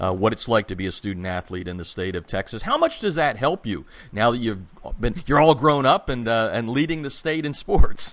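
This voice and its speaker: A man with a plain, everyday voice talks at a fairly low pitch and a moderate pace with lively intonation, on a very clean recording with a silent background. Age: 50s. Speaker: radio show host. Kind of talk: radio interview.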